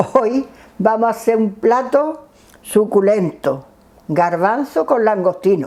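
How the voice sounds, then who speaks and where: Very wide pitch swings mark a woman's very slow speech over noticeable background noise. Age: 80s+. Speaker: home cook, former restaurant owner. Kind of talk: cooking demonstration.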